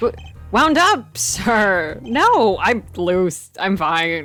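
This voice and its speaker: Using a put-on character voice, a female-sounding speaker goes at a very slow pace in a medium pitch, strained and shrill, with faint music in the background. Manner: flustered, tense.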